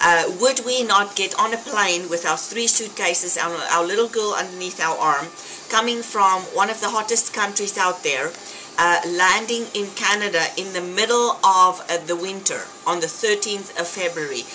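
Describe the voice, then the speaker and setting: A woman speaks in a South African accent. There is music in the background. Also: medium pitch for a woman, ordinary pitch variation, moderate pace. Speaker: fitness vlogger. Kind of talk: casual vlog talk. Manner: animated.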